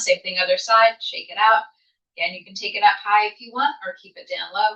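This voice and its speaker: A woman speaks at a fairly quick pace in a calm, soothing tone, her loudness swinging widely. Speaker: yoga instructor. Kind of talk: guided yoga class.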